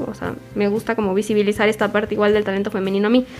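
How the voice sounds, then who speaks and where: At a very fast pace, a woman with a Mexican accent and a fairly high pitch talks over noticeable background noise. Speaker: guest from the music scene. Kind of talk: casual chat.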